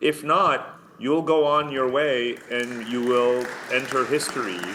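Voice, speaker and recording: Over crowd noise and audible room echo, a man with an American accent speaks very slowly at a medium pitch, his intonation fairly even. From US and Germany. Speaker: author and researcher. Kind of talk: conference talk. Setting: video call. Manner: emphatic.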